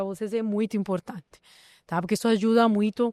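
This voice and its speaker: A woman with a non-native accent, in a dry, close recording with no echo, very clean, with a silent background. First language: not Portuguese (speaking Portuguese). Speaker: podcast host. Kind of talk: podcast conversation.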